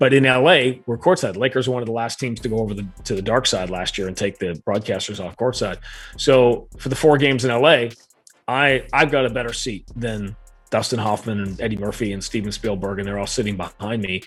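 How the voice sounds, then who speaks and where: This man's medium-pitched voice shows ordinary pitch variation and moves at a fairly quick pace. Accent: American. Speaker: radio play-by-play announcer. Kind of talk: interview answer, storytelling. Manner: conversational, animated.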